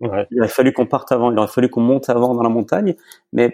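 Dark and mellow in tone, a man speaks at a medium pitch and a fairly quick pace. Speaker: chef and butcher. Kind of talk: casual interview. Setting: remote recording.

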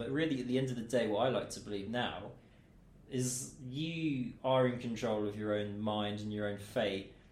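A man with a medium-pitched voice talks at a moderate pace, and the room echo is audible. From Milton Keynes, England. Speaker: radio presenter and DJ. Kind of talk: casual chat. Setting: studio.

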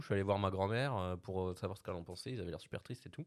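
A man talks at a very fast pace in a fairly low pitch. His pitch variation is ordinary. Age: young. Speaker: podcast co-host, editor. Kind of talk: casual chat.

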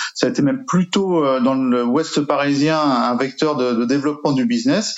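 Noticeable background noise sits behind a man with a fairly high pitch and ordinary pitch variation. He keeps a moderate pace. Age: 50s. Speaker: real estate agency owner. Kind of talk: interview testimony. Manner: hesitant, repeats words.

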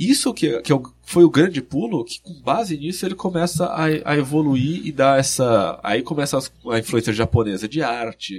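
Somewhat breathy and fairly high in pitch, a man speaks at a moderate pace with hardly any pauses, lively intonation and big swings in loudness. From interior of São Paulo state, Brazil. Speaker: video game researcher and author. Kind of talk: casual interview.

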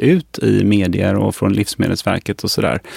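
A man speaks at a fairly low pitch. The sound is dry and close, with no echo. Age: 50s. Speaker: physician and pharmacology researcher. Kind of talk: interview.

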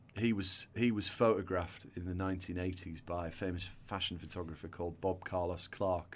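With a northern English accent, a man speaks at a moderate pace in a very deep, low pitch and fairly even intonation. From northern England; North Yorkshire. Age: 40s. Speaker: hairdresser and salon entrepreneur. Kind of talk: casual interview chat.

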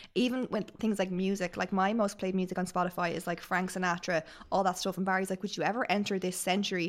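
Someone with an Irish accent speaks at a very fast pace in a monotone, flat intonation. The recording is very clean, with a silent background. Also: woman, medium pitch for a woman. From Ireland. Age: 30s. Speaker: podcast guest. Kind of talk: casual chat.

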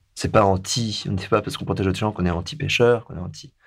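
A man with a very deep, low pitch and a somewhat breathy voice talks at a very fast pace with ordinary pitch variation, on a very clean recording with a silent background. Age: 40s. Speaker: sailor and foundation director. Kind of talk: interview. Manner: halting.

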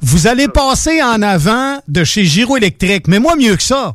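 The pitch of this man's voice rises and falls very widely. He takes his words fairly slowly. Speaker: radio personality and charity founder. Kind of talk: casual chat.

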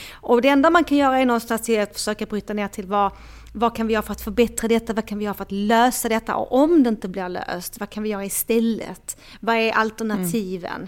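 Talking at a very fast pace, a woman uses a fairly high pitch and ordinary pitch variation. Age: 40s. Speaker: dating coach. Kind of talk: casual chat. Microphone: microphone problems at end, rustling sound.

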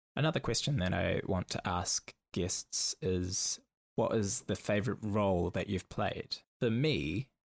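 In a New Zealand accent, a man talks at a fairly low pitch with ordinary pitch variation, the sound dry and close with no echo on a very clean recording with a silent background. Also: very even loudness. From New Zealand, Auckland. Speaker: podcast host, performer. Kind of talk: solo podcast monologue.

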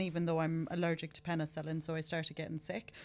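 A woman talks very fast. She has an Irish accent. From Ireland. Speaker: podcast host in skincare industry. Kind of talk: casual interview. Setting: studio.

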